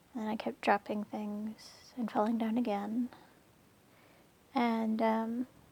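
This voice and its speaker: A woman speaks at a very slow pace with long, frequent pauses, her pitch fairly high and her intonation monotone and flat. Her tone is dark and mellow, and somewhat breathy. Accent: American. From United States. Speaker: chronic illness vlogger. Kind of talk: personal testimony vlog. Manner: hesitant, many fillers.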